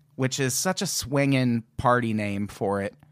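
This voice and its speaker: On a very clean recording with a silent background and a dry, close sound with no echo, a man speaks at a moderate pace. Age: 40s. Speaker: podcast host. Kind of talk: casual chat.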